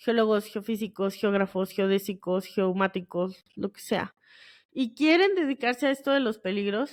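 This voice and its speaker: A woman's voice with very wide pitch swings at a very slow pace. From northern Mexico, Monterrey area. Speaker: geoscience podcast host. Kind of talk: casual solo podcast talk. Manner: casual, colloquial with fillers.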